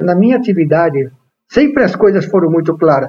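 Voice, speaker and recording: Talking fairly quickly, a man keeps his pitch variation ordinary. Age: 50s. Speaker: entrepreneur and investment agent. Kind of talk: interview.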